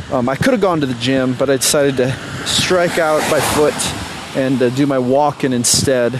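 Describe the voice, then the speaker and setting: A man keeps a moderate pace and fairly even intonation despite noticeable background noise. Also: medium pitch for a man. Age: 30s. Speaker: dating coach podcaster. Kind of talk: solo motivational rant while walking. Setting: outdoors walking in drizzle, headphones, noisy. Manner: conversational with hesitations and filler.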